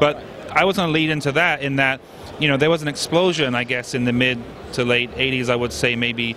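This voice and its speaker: A man's fairly quick speech shows normal pitch variation, with background noise clearly audible. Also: medium pitch for a man. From southern England. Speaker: interviewer. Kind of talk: interview.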